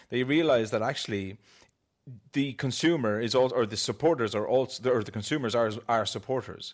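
Here a man with an Irish accent speaks at a fairly quick pace and a medium pitch. His pitch variation is ordinary, and the recording is very clean with a silent background. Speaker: artist and author. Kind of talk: panel discussion.

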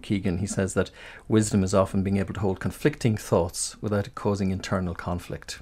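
A man with a plain, everyday voice talks at a fairly quick pace and a fairly low pitch. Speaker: radio host, interviewer. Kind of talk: radio interview.

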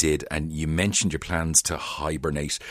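A man speaks with an Irish accent in a very deep, low voice. The recording is very clean with a silent background. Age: 40s. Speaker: radio host. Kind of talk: radio book show chat.

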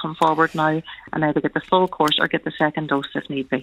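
Fairly low in pitch, a woman speaks with fairly even intonation in an ordinary speaking voice. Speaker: family doctor. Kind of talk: radio interview. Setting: phone call.

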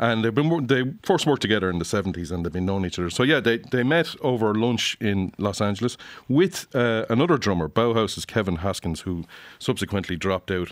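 Delivered at a fairly quick pace with lively intonation, this Irish accent comes through in a very clean recording with a silent background. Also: man, fairly low pitch for a man. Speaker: music critic. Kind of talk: album review discussion. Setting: studio.

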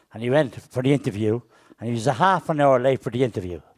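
A man speaks at a very fast pace in an Irish accent. His pitch variation is ordinary. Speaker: comedian. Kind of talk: stand-up. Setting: stage with audience.

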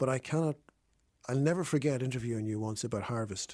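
Talking at a fairly quick pace, a man with an Irish accent shows ordinary pitch variation. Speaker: radio host. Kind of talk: radio interview. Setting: studio.

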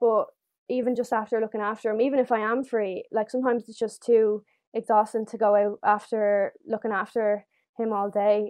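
A woman with a Dublin accent speaks fairly quickly at a fairly high pitch in a monotone, flat intonation. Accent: Dublin Irish. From Ireland, Dublin. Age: 18. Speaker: former young carer, nursing student. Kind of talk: casual chat.

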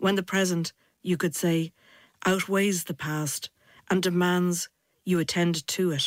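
Monotone, flat delivery in an Irish accent at a fairly slow pace, with long, frequent pauses, a dry, close sound with no echo, and a very clean recording with a silent background. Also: woman, fairly low pitch for a woman. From Ireland. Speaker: poet presenter. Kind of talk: radio documentary presenting and poem reading.

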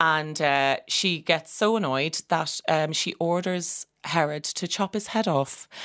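A woman with an Irish accent and a fairly low pitch, ordinary pitch variation, a very slow pace and hardly any pauses, in a dry, close sound with no echo on a very clean recording with a silent background. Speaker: opera singer. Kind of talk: radio interview.

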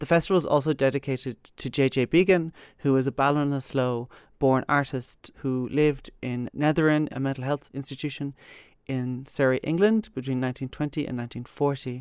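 Recorded very cleanly against a silent background, with a dry, close sound and no echo, a woman with an Irish accent speaks in a very deep, low pitch using fairly even intonation. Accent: Irish (Galway). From Ireland, Galway (Kilcolgan). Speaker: curator and writer. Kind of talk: interview. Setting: gallery.

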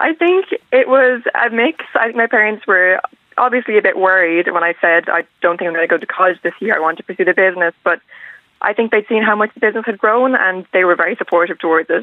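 A very fast pace with lively intonation and a western Irish accent. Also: woman, medium pitch for a woman. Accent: Irish (west of Ireland). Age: young. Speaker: young entrepreneur. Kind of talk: radio interview.

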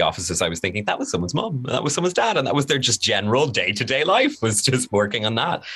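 A man with an Irish accent, very fast and lively in intonation, over noticeable background noise. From Ireland. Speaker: radio host. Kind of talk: casual chat.

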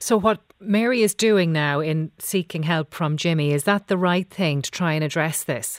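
A woman speaks at a moderate pace in a low pitch with ordinary pitch variation. The sound is dry and close, with no echo.

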